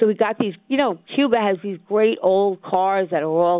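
A woman speaks at a moderate pace with an ordinary speaking voice. Her pitch sits in the middle of her range, with ordinary variation. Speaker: real estate radio host. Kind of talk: radio talk show. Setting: studio.

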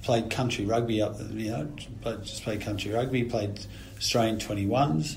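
A man's fairly low voice at a fairly slow pace, against noticeable background noise. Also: ordinary pitch variation. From Australia (New South Wales). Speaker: retired rugby player. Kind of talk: casual chat.

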